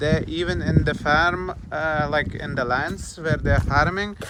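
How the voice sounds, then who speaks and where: A speaker with a Lithuanian accent talks fairly slowly amid noticeable background noise and audible room echo. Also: man. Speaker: travel vlogger. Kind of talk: travel vlog narration. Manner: halting, many fillers.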